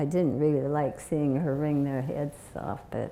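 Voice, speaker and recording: Speaking at a fairly slow pace, a woman has a very deep, low pitch and a dark, mellow tone. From US Pacific Northwest (Oregon, Longview, Washington). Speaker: community elder, bishop's widow. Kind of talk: interview before an audience, storytelling. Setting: stage with audience. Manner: halting.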